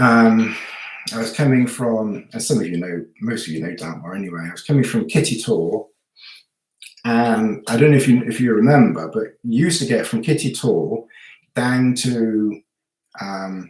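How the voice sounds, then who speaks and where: Mumbling at a moderate pace, a man speaks at a medium pitch with ordinary pitch variation. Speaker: hiking vlogger. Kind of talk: live stream Q&A. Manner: halting.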